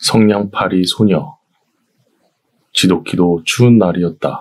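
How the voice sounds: A man speaks at a very slow pace in a calm, soothing tone. His pitch varies in an ordinary way.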